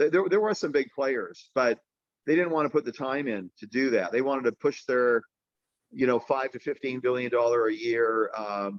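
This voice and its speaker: A man's medium-pitched voice moves at a moderate pace. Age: 60s. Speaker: company CEO. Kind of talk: interview. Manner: halting, many fillers and repeats.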